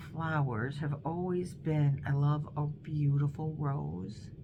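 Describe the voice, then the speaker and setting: A woman with an American accent, very deep, low and somewhat breathy, at a very slow pace with audible room echo. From Northern Ohio, Cleveland. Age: 60s. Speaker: crochet vlogger. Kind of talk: casual chat. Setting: dining room at home. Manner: hesitant, many fillers.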